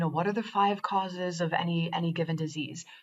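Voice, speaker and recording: A woman's unremarkable speaking voice, fairly low in pitch, with fairly even intonation. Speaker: quantum biofeedback trainer. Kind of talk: tutorial.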